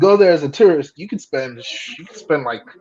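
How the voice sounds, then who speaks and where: Speaking at a fairly quick pace with a South Florida accent, a man uses a high pitch and ordinary pitch variation. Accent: American, South Florida. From South Florida, Broward County. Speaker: guest. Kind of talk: casual chat.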